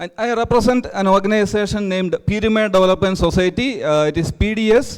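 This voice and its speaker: Here a man talks at a very fast pace with hardly any pauses. His pitch is high. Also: ordinary pitch variation. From India, Kerala. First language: Malayalam. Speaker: NGO representative. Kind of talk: conference presentation. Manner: halting, frequent uh fillers.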